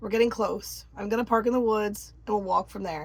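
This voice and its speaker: Putting on a raspy character voice, a woman speaks at a fairly quick pace with a medium pitch and fairly even intonation, with light background noise. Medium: read story. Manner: curt, tough.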